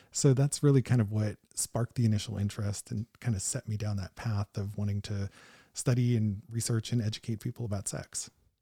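Somewhat breathy with a dark, mellow tone, a man speaks in an American accent at a fairly quick pace with fairly even intonation, in a very clean recording with a silent background and a dry, close sound with no echo. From US Midwest, northeastern Ohio. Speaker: psychologist and sex researcher. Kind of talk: casual interview. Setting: in a home basement.

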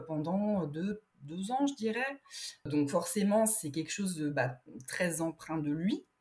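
At a very slow pace, a woman with a fairly low pitch speaks in a somewhat breathy voice with lively intonation. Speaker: illustrator. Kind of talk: casual interview chat. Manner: hesitant, many fillers.

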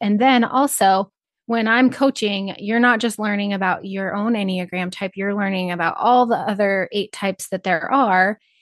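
A woman with an American accent uses a normal speaking voice at a medium pitch and moderate pace, with fairly even intonation, in dry, close sound with no echo against a quiet background. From Northeast Nebraska. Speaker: rancher and Enneagram coach. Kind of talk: interview.

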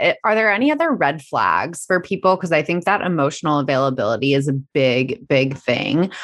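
Using a normal speaking voice, a woman talks at a moderate pace with lively intonation, very even loudness and hardly any pauses. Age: 30s. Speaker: podcast host interviewing. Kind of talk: interview.

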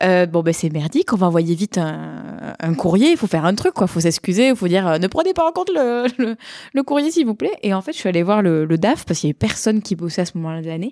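Speaking at a very fast pace with lively intonation, a woman has a dark, mellow tone and a slight southern French accent. The sound is dry and close, without echo. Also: medium pitch for a woman. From southern France, Montpellier. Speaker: software product manager, conference speaker. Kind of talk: casual chat.

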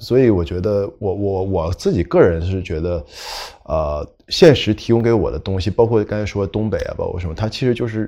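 A man speaks at a fairly quick pace in a fairly low, dark and mellow voice. His pitch varies in an ordinary way over a quiet background. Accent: northeastern Chinese. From northeast China. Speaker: novelist. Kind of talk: panel discussion, casual talk. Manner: rambling, hesitant, laid-back.

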